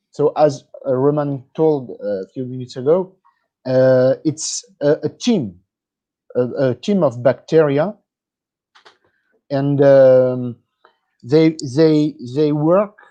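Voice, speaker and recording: Very slow and marked by long, frequent pauses, a man speaks in a dark, mellow tone with a French accent. The sound is dry and close, with no echo. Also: fairly high pitch for a man, ordinary pitch variation. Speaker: product company representative. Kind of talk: interview. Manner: halting, hesitant.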